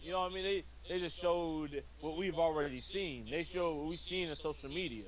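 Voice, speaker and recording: At a fairly quick pace, a man with a normal speaking voice talks at a fairly high pitch with fairly even intonation. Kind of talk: casual gaming discussion show.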